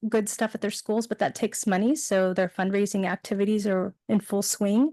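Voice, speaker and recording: A woman speaks with a Californian accent and fairly even intonation. The sound is dry and close with no echo, over a quiet background. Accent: Californian American. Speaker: PTA council representative. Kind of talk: report at public board meeting. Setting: board meeting. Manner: frequent fillers.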